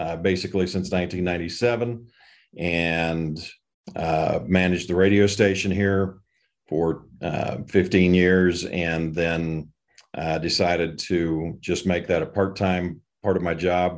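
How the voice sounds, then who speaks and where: A man with an American accent talks at a very slow pace in a very deep, low pitch. His intonation is fairly even, and the background is quiet. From southeastern Colorado (Holly). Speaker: economic development director and radio announcer. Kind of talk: interview conversation.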